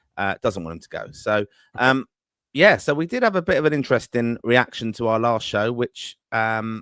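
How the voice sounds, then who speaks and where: On a very clean recording with a silent background and a dry, close sound free of echo, a man with an English accent speaks at a medium pitch and moderate pace with lively intonation. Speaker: football podcast host. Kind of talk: live podcast chat.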